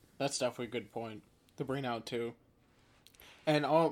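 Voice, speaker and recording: Fairly quick and in an upstate New York accent, the speech has fairly even intonation on a very clean recording with a silent background. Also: man. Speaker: podcast host. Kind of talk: casual chat.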